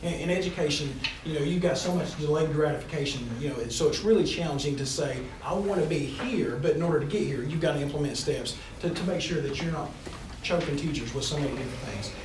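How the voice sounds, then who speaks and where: Very fast speech from a man in an East Tennessee accent, fairly high-pitched with ordinary pitch variation, amid noticeable background noise and audible room echo. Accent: East Tennessee Southern US. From East Tennessee, Johnson City. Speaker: job candidate, educator. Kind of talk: job interview.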